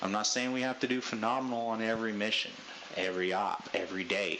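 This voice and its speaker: In a room with audible echo and noticeable background noise, a man talks at a fairly quick pace with a fairly low pitch and fairly even intonation. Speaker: gaming group leader. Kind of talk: team briefing. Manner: loud.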